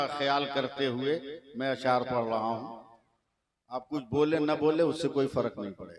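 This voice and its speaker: A man is talking. The rise and fall of his voice is fairly even. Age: 60s. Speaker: Islamic preacher. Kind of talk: religious speech at night gathering.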